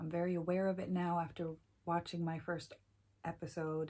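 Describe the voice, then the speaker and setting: Soft-spoken and somewhat breathy, a woman talks at a moderate pace with a dark, mellow tone and a fairly low pitch. Her intonation is fairly even, and the recording is very clean with a silent background. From Iceland. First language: Icelandic. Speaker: knitting podcaster. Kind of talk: casual chat. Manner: frequent ums.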